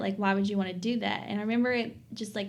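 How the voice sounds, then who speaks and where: With an Appalachian accent, a woman speaks in a fairly high voice with ordinary pitch variation. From Southwest Virginia, Appalachia. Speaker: PhD student. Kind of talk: podcast interview answer. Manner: casual, conversational.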